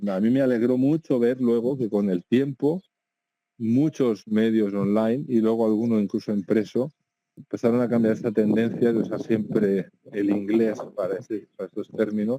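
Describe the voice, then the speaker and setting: A man in a Catalan accent, medium in pitch with fairly even intonation and a dark, mellow tone, with big swings in loudness and a dry, close sound with no echo. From Catalonia. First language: Catalan (speaking Spanish). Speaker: video game journalist, website founder. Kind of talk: interview. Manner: hesitant with fillers and repetitions.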